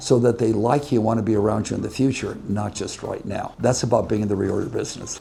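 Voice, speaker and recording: A man talks very fast with an American accent while noticeable background noise fills the clip. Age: 80s+. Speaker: businessman. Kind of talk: interview answer.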